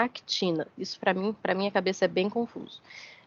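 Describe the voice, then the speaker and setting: This woman has a normal speaking voice. Her pitch varies in an ordinary way. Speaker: university lecturer. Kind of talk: lecture.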